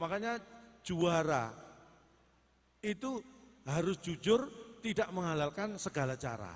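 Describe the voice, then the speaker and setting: A high-pitched male voice, fairly slow, with lively intonation. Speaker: stand-up comedian. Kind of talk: live comedy performance on stage.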